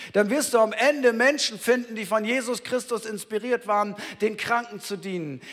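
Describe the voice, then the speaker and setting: A man's extremely high-pitched voice with a bright, sharp tone. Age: 50s. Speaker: pastor. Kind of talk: sermon. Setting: church. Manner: conversational, addresses listener directly.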